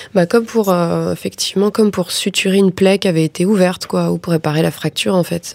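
In a normal speaking voice, a woman of medium pitch talks at a fairly quick pace with hardly any pauses and fairly even intonation, the sound dry and close with no echo. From Paris suburbs, France. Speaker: film director. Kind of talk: interview.

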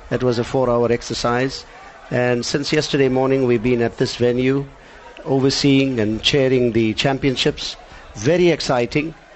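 Noticeable background noise runs under a man speaking at a moderate pace. His intonation is fairly even and his loudness very even. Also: medium pitch for a man. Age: 60s. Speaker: karate federation president and instructor. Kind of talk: live interview. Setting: studio.

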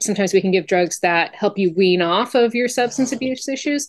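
A woman's normal speaking voice, lively in intonation, against a quiet background. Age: 40s. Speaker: state legislator and physical therapist. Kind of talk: interview.

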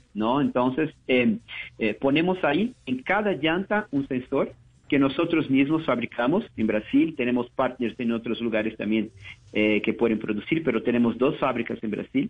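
A man's medium-pitched voice with a Portuguese accent, a moderate pace and lively intonation. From Brazil, São Paulo. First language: Portuguese (speaking Spanish). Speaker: business manager. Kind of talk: interview.

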